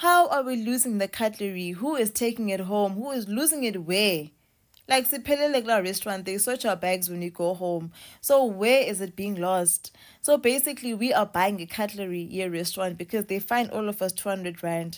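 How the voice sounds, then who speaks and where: A woman's lively intonation at a moderate pace, over a quiet background. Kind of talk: casual vlog chat, complaint story. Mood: frustrated, indignant. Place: home room. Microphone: phone near.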